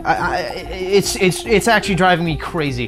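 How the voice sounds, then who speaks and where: A man's high-pitched voice with music in the background. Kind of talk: unscripted video essay commentary. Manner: stuttering.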